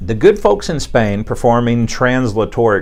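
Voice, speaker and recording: Over music in the background, a man talks at a moderate pace and medium pitch in a Texan accent. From Texas. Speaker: chiropractor. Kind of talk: podcast talk. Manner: casual, conversational.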